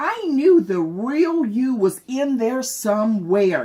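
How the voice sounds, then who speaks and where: A woman puts on a character voice at high pitch. She speaks at a very slow pace with very wide pitch swings. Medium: read story. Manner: gentle, kindly.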